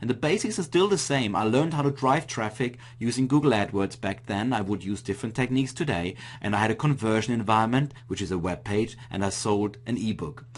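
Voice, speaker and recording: A man with an Austrian accent speaks at a medium pitch with ordinary pitch variation. He moves at a fairly quick pace with hardly any pauses. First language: German. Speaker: internet marketing coach. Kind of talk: webinar presentation.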